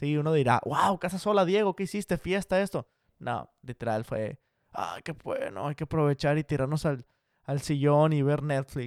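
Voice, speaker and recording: Here a man speaks in a fairly high pitch. He keeps a moderate pace with ordinary pitch variation. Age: 20s. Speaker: podcast host. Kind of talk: casual solo podcast monologue.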